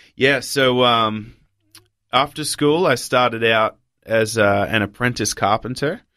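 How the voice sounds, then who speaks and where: Speaking fairly slowly in an Australian accent, a man has a bright, sharp tone and ordinary pitch variation. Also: medium pitch for a man, very even loudness. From Papua New Guinea and Australia. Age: 20s. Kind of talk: interview testimony.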